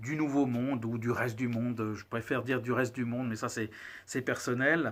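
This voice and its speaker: Here a man speaks at a medium pitch. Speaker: cigar reviewer, channel host. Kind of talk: casual video monologue, product review. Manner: hesitant, many filler words.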